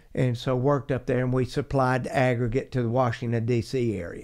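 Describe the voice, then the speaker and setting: A man speaks in an Appalachian Georgia accent. The recording is very clean, with a silent background. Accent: Southern US (Appalachian Georgia). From US South, north Georgia mountains. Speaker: geologist. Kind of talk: interview.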